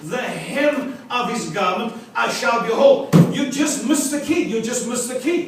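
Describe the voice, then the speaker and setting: Amid noticeable background noise and audible room echo, a man with an extremely high pitch speaks at a fairly slow pace. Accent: South African. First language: Afrikaans. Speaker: preacher. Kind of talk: sermon. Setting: church with congregation.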